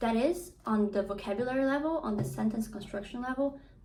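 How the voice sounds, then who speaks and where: A woman with a high pitch and ordinary pitch variation speaks amid audible room echo. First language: not English (English is third language). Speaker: book vlogger. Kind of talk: casual monologue vlog. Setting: at home, hot room without fan. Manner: animated, rambling with fillers.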